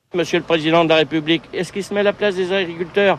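A man speaks with a high pitch and ordinary pitch variation. Noticeable background noise runs underneath. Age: 60s. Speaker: retired farmer, protester. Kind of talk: street interview at protest.

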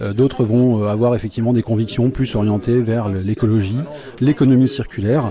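Against noticeable background noise, a man talks at a moderate pace, his medium-pitched voice fairly even in intonation. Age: 40s. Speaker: electronics technician, repair café volunteer. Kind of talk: interview. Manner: hesitant with repeated words.

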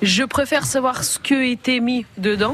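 A woman's pitch varies in an ordinary way, with noticeable background noise behind her. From Russia (Leningrad). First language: Russian (speaking French). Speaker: association president. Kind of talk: radio talk show. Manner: halting.

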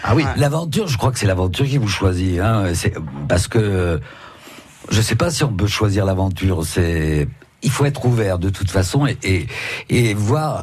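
Audible room echo and noticeable background noise surround a man's fairly low voice. He moves at a moderate pace with lively intonation and long, frequent pauses. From West Africa (born), schooled in Saint-Malo, France. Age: 70s. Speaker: painter, actor and author. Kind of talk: radio interview. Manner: halting.

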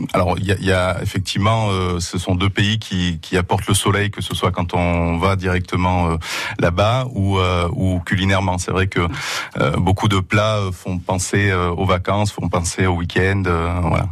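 A man's very deep, low voice at a fairly slow pace, in a monotone, flat intonation. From Asturias, northern Spain. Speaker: restaurateur. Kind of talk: radio interview.

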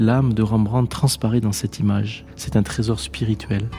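A plain, everyday voice speaks at a moderate pace. The pitch varies in an ordinary way. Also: man. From Lot-et-Garonne, southwest France. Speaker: priest. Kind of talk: interview, describing a painting. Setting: inside a church.

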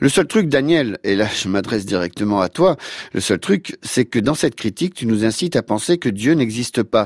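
Very wide pitch swings mark this man's medium-pitched voice at a moderate pace. The sound is dry and close with no echo, in a very clean recording with a silent background. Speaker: radio host. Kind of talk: scripted narration.

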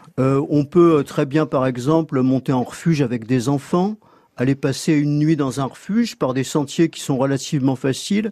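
His tone dark and mellow, a man speaks at a fairly high pitch and a moderate pace with ordinary pitch variation. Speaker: magazine editor, mountain expert. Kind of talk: radio interview. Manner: hesitant, fillers.

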